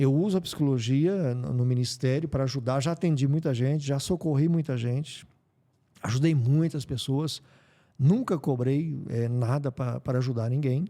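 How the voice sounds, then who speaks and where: A man speaks at a moderate pace in a fairly high pitch, with a dark, mellow tone and ordinary pitch variation. The recording is very clean, with a silent background. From Brazil, interior of São Paulo state. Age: 60s. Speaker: pastor. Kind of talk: interview. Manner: halting.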